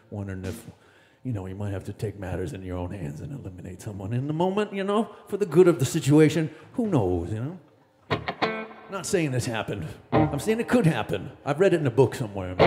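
A man talks at a very fast pace, his pitch swinging very widely and his loudness jumping in big swings. Music plays in the background. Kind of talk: between-song stage banter. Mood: joking, playful. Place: stage. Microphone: studio mic.

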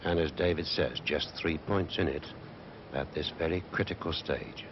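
This man talks at a moderate pace in a very deep, low voice with vocal fry and fairly even intonation. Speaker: snooker commentator. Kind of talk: sports commentary. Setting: broadcast archive, early 1980s. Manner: soft-spoken.

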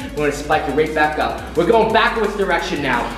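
Over light background noise and audible room echo, a man talks at a very fast pace with lively intonation. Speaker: fitness coach. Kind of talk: workout instruction. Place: gym.

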